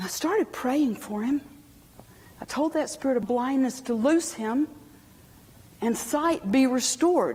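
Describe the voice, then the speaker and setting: A woman speaks at a fairly slow pace in a high, animated voice with lively intonation over noticeable background noise. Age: 60s. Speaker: inspirational speaker. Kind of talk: testimony.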